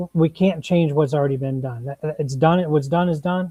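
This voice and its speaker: A man with an American accent, fairly high in pitch, somewhat breathy and dark, mellow in tone, with fairly even intonation and a dry, close sound with no echo. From Minnesota, St. Paul east side. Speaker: political candidate. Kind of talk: panel discussion. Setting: livestream.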